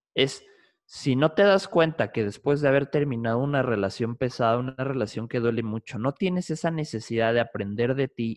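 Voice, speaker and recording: Speaking in a plain, everyday voice, a man talks at a moderate pace and medium pitch with ordinary pitch variation, the sound dry and close with no echo. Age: 20s. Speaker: psychologist and podcaster. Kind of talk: casual interview.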